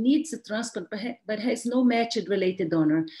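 At a moderate pace, a woman with a Brazilian accent speaks somewhat breathily, with fairly high pitch and lively intonation, against a quiet background. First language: Portuguese. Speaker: pediatric transplant physician and professor; medical professor presenting. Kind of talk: lecture. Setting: webinar. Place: home room.

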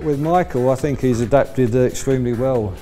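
Clear music plays in the background while a man talks at a moderate pace. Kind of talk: interview answer. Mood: calm, positive. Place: garage.

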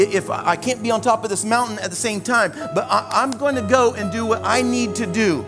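Clear music plays in the background. A man talks at a fairly quick pace. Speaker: preacher. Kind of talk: sermon. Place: church.

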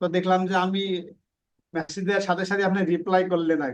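This man speaks with a high pitch. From Bangladesh, Khulna district. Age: 50s. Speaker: freelancer, former NGO worker. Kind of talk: interview. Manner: halting.

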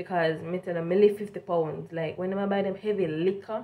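A woman with a strong Jamaican accent speaks at a moderate pace in an animated tone. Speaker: vlogger, work and travel student; vlogger sharing work experience. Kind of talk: casual vlog storytelling. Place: home room. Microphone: phone near.

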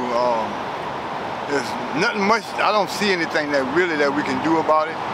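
Loud background noise surrounds a man speaking at a fairly quick pace. The sound is dry, with no echo. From New Orleans, Louisiana. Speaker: retiree. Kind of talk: street interview answer. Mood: resigned, pessimistic. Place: street. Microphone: phone near.

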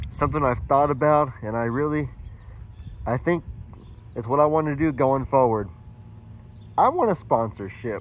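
The recording is dry with no echo as a man speaks at a moderate pace with ordinary pitch variation. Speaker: vlogger. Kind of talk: casual vlog chat. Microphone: phone near.

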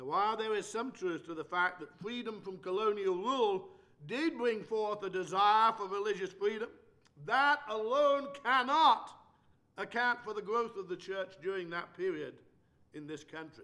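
A raised, projected voice with a bright, sharp tone moves at a moderate pace with lively intonation. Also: man, high pitch for a man. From England. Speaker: preacher. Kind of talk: lecture. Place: church. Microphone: podium.

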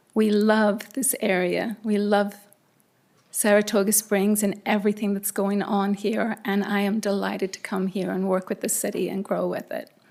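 A woman speaks with a slight Irish accent. Her intonation is flat and monotone. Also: medium pitch for a woman, moderate pace. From Ireland. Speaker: judge appointee, former prosecutor. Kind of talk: self-introduction at council meeting.

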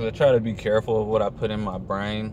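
The voice moves at a moderate pace, its sound dry with no echo and light background noise underneath. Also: man. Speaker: fitness vlogger. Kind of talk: casual vlog chat. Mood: relaxed, opinionated. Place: car. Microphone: phone near.

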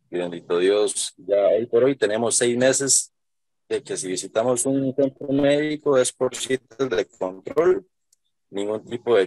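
The voice comes at a fairly slow pace with ordinary pitch variation, a dry sound with no echo, and a quiet background. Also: man. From Costa Rica. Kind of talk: testimony. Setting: video call. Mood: grateful, earnest. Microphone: video call.

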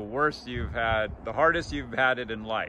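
A man with an ordinary speaking voice, medium pitch, lively intonation and a moderate pace. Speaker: grandson interviewer. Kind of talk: casual interview questions.

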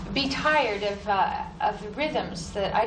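Noticeable background noise is present. Over it, a woman talks at a fairly high pitch. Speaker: poet. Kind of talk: casual spoken introduction to audience. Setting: live reading in a university hall. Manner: hesitant, thoughtful, with fillers. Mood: thoughtful, reflective. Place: studio. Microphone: old recording.

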